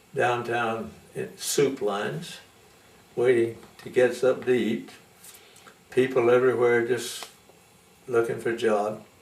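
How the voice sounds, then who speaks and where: A man speaks at a medium pitch with ordinary pitch variation and a fairly slow pace. Long, frequent pauses break up his speech over noticeable background noise. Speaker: Methodist preacher; storyteller. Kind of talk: interview answer.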